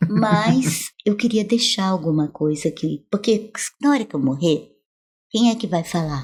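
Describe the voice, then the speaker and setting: A woman's fairly low, somewhat breathy voice with lively intonation at a fairly slow pace, on a very clean recording with a silent background. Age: 70s. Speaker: professor. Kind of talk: interview. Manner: animated.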